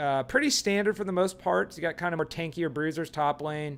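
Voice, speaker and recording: The pitch of this man's speech is fairly high. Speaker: esports caster. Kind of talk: live commentary. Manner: fast.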